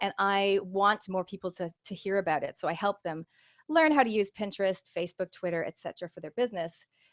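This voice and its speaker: At a fairly quick pace, an energetic American-accented voice moves with ordinary pitch variation over a dry, close sound with no echo. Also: woman. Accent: sounds American. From Canada. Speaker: business coach. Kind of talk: webinar presentation. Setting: online video call.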